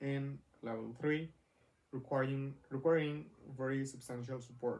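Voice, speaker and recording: The man's pitch is medium and his intonation fairly even. He speaks at a fairly slow pace. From Mexico. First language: Spanish. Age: 20s. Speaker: vlogger. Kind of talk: personal vlog. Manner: halting, many fillers.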